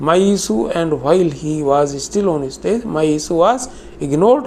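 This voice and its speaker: The speech comes at a very slow pace. Noticeable background noise can be heard. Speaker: retired banker and pensioner activist. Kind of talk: reading aloud a prepared statement. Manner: formal.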